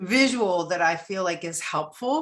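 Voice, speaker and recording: An unremarkable speaking voice from a woman, medium in pitch, with lively intonation at a fairly slow pace. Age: 60s. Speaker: trainer and survivor presenting to advocates. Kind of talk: webinar presentation with Q&A.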